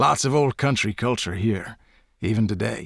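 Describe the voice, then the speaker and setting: On a very clean recording with a silent background, a man puts on a raspy character voice, fairly low in pitch, at a moderate pace. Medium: read story. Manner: chatty, folksy.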